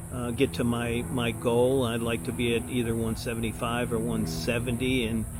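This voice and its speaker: A man with a fairly low pitch talks over music in the background, with audible room echo. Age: 70s. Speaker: retired city administrator, vlogger. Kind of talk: casual vlog monologue. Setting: outdoors at a fitness trail. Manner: halting, many fillers.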